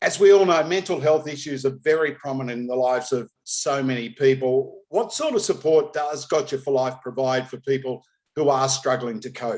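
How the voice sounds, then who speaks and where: A man with an Australian accent, fairly high in pitch, at a moderate pace with hardly any pauses and ordinary pitch variation. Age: 60s. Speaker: racing podcast host. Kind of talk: interview.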